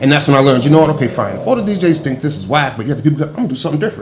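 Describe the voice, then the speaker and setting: A man's fairly high voice at a very fast pace, with lively intonation and audible room echo. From Rhode Island. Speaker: DJ and radio personality. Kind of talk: casual chat. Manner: loud, sounds like yelling; hyper, energetic.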